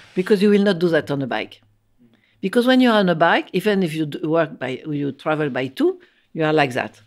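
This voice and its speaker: Speaking at a fairly quick pace with a French accent, a woman uses a fairly low pitch and very wide pitch swings. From France. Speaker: architect and professor. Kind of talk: interview conversation. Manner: halting, repeating words.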